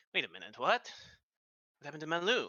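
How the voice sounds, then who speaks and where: Very fast, high-pitched put-on character voice from a man. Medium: actual play. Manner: surprised, gossipy.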